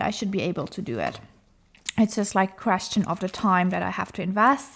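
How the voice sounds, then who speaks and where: A woman with a non-native accent speaks at medium pitch with ordinary pitch variation. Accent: non-native English, self-described as rusty. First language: not English; comfortable in French. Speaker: craft YouTuber, diamond painter. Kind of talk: casual chat while crafting. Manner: hesitant, many fillers.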